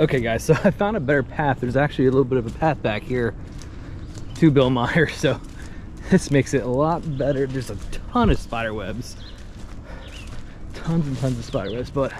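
Over light background noise, a man talks at a fairly quick pace with ordinary pitch variation in a dry sound with no echo. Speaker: explorer vlogger. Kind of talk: casual vlog chat. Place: forest. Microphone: phone near.

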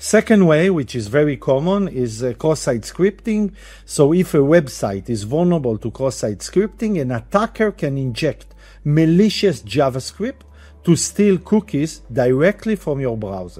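A man's somewhat breathy, dark, mellow voice with very wide pitch swings, at a moderate pace against a quiet background. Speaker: cybersecurity educator. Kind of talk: tutorial.

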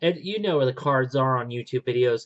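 A quiet background behind ordinary pitch variation. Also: man. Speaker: youtuber musician. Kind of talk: casual vlog chat. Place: home room. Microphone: webcam.

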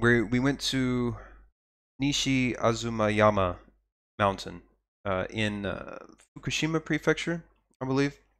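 A man with a Texan accent speaks at a fairly slow pace and ordinary pitch variation. He leaves long, frequent pauses. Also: medium pitch for a man, very clean recording, silent background. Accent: Texan American English. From Texas. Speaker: podcaster living abroad. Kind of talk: casual live-stream monologue. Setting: live stream with viewer chat. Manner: hesitant, many fillers and repeated words.

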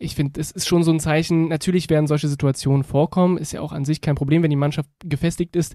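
Very fast and monotone, a fairly high-pitched man with a dark, mellow tone is heard in dry, close sound with no echo on a very clean recording with a silent background. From Berlin (Reinickendorf). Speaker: football podcaster. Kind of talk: casual chat.

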